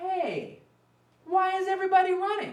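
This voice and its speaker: A put-on character voice, squeaky and extremely high in pitch, rings out with audible echo. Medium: read story. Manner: innocent, curious.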